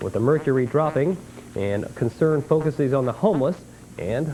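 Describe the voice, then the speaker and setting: With lively intonation and an ordinary speaking voice, a man talks at a fairly quick pace. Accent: American. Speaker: TV news anchor. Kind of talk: local TV newscast anchor read.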